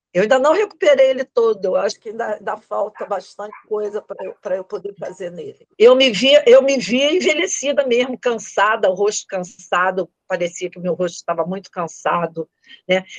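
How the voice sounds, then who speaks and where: A woman speaks at a moderate pace in a fairly high voice with lively intonation. Her loudness swings widely, and the sound is dry and close, with no echo. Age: 60s. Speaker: student of online facial exercise course. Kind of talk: testimony interview. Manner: halting, many repetitions.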